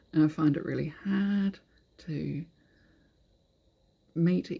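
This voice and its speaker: With a fairly low pitch, a woman speaks in a dark, mellow tone that is somewhat breathy. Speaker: EFT tapping practitioner. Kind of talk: guided tapping session.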